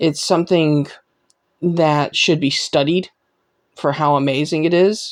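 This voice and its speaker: The speech comes at a fairly slow pace with long, frequent pauses on a very clean recording with a silent background. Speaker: gaming youtuber. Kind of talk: casual opinion monologue. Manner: halting, repeats words.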